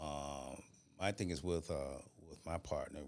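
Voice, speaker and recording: Fairly even intonation and vocal fry mark this voice with an American accent. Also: man. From Florida. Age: 60s. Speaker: retired police officer. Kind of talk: casual chat.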